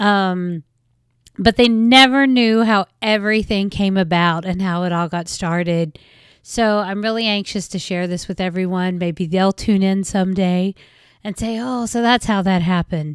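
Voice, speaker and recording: A woman with a West Virginia accent speaks in an animated tone at a medium pitch, with ordinary pitch variation. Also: moderate pace, very clean recording, silent background. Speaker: podcast host. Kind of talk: casual podcast monologue.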